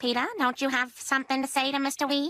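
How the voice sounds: In a cartoonish character voice, a woman speaks very fast at a high pitch, with fairly even intonation and very even loudness.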